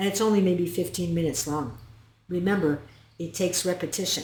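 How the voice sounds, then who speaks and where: Here the pace is moderate. The voice sounds somewhat breathy. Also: woman. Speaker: narcissistic abuse recovery coach and hypnotist. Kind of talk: educational talk to camera.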